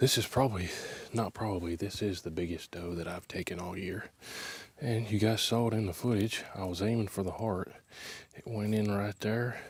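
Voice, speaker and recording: Somewhat breathy, a man speaks at a fairly low pitch and moderate pace with fairly even intonation. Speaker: hunting video creator. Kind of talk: casual vlog to camera. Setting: outdoors in the woods. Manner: quiet, hushed.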